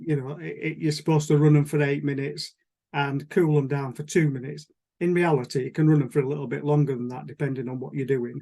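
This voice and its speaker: This man talks very fast in a fairly high pitch with a dark, mellow tone. His intonation is fairly even. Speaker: model engineer. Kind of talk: presentation on Zoom. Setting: video call.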